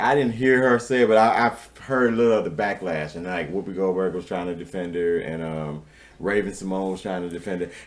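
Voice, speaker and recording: Speaking at a fairly quick pace, a man with a very deep, low voice and an American accent uses ordinary pitch variation. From Chicago. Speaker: podcast co-host. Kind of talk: casual chat. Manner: animated.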